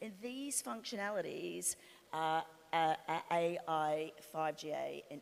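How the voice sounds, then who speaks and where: A woman's very slow speech with lively intonation. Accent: Australian. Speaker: industry analyst. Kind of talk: panel discussion.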